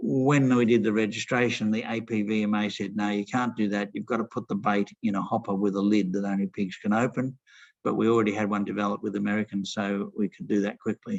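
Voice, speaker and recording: Speaking at a very fast pace with hardly any pauses, a man with an Australian accent has a fairly low pitch and fairly even intonation, in a dry, close sound with no echo. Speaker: pest control scientist presenting at a webinar. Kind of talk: webinar presentation.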